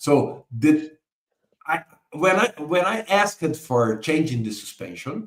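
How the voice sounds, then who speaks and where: A man with a Portuguese accent. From Brazil. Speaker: book author and business analysis expert. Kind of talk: interview explanation of concepts. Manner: halting, with frequent repeated words.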